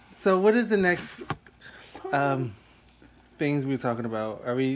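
The tone is animated. Noticeable background noise sits behind the voice. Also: long, frequent pauses. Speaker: podcast host. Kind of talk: casual chat. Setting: live video chat. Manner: animated, joking.

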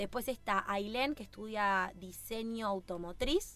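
With lively intonation and a bright, sharp tone, a woman speaks at a fairly slow pace in a medium pitch, recorded very cleanly against a silent background. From Bariloche, Argentina. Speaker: racing driver. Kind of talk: casual interview.

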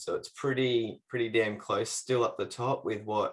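This man talks with an Australian accent. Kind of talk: casual chat. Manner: casual, jokey.

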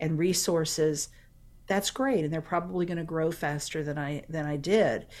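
With an American accent, a woman talks at a moderate pace in a fairly low pitch with ordinary pitch variation, a normal speaking voice on a very clean recording with a silent background. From Florida (St. Petersburg). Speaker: career coach. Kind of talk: interview conversation.

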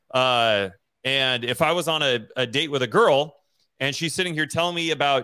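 The speaker is a man with a plain, everyday voice. His pitch varies in an ordinary way. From Idaho. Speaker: real estate investor and podcast co-host, Air Force veteran. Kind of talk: casual chat.

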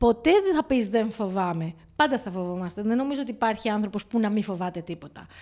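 Her voice has a fairly high pitch and a dark, mellow tone, and this woman speaks at a fairly quick pace with lively intonation. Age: 50s. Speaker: podcast co-host. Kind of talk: casual chat.

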